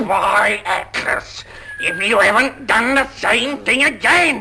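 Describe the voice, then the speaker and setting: Very slow and fairly high-pitched, the speaker uses a put-on character voice. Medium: audio drama. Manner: gruff, quarrelsome.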